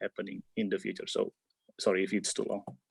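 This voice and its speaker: A man with an Indonesian accent is heard in a dry, close sound with no echo. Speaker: PhD researcher. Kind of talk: webinar Q&A answer. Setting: video call webinar. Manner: halting, many fillers.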